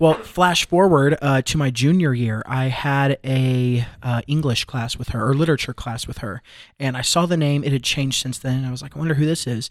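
A man speaks with ordinary pitch variation and hardly any pauses. He has a plain, everyday voice. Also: medium pitch for a man, moderate pace. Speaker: college student. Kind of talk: casual chat. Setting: studio.

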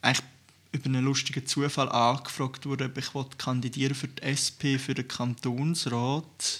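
Keeping a monotone, flat intonation, a man speaks at a medium pitch and a moderate pace. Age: 20s. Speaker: youth party podcast host. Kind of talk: casual chat.

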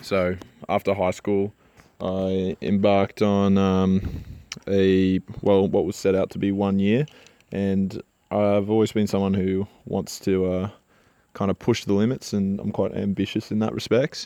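A man with an Australian accent speaks at a fairly slow pace, his fairly low pitch carrying a dark, mellow tone and a monotone, flat intonation. The sound is dry and close with no echo, against a quiet background. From Australia, Gold Coast, Queensland. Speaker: podcast host, engineer. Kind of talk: solo monologue, personal story. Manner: casual, with many filler words.

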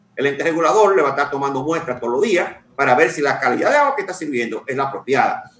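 Noticeable background noise is present. Over it, a man talks at a very fast pace. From Santiago, Dominican Republic. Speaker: water sector expert. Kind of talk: radio interview.

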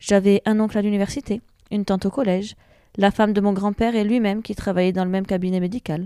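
A dark, mellow tone at a fairly quick pace, dry and close with no echo, on a very clean recording with a silent background. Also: woman. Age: 30s. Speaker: patient. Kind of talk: testimony.

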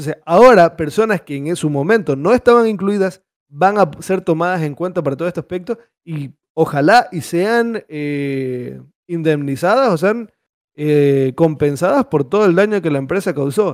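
At a moderate pace, the speech carries lively intonation. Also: man, high pitch for a man. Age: 20s. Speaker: gaming podcast host. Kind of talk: casual chat.

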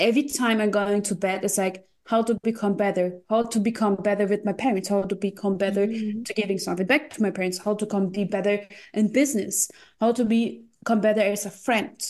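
A woman with a German accent speaks at a fairly quick pace, her medium-pitched voice held in fairly even intonation. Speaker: crypto investor and coach. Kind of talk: casual chat.

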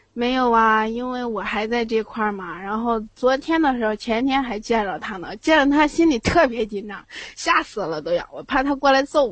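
A woman talks at a moderate pace with hardly any pauses, her high voice full of lively intonation and big swings in loudness. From Tongliao, Inner Mongolia. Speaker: caller. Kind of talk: casual chat.

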